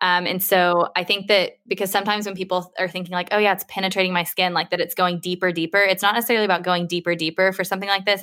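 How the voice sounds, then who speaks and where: Very fast, monotone delivery in a bright, sharp tone, on a very clean recording with a silent background. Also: woman. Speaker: skincare podcast host and consultancy co-founder. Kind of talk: casual interview chat.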